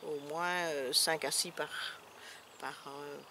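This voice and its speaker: Very slowly, a woman speaks in a bright, sharp tone with fairly even intonation. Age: 60s. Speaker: retired social worker. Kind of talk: interview. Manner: halting.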